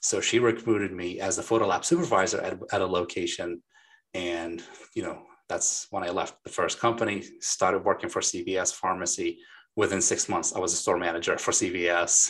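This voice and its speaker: A man talks with a Lebanese accent at a moderate pace. The background is quiet. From Lebanon. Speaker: remodeling company founder. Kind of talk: interview. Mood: friendly, smiling. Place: office. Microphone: video call.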